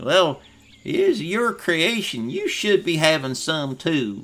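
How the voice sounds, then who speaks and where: A man puts on a character voice, high-pitched and warm in tone, with very wide pitch swings. He delivers it at a fairly slow pace. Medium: actual play. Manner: warm, folksy.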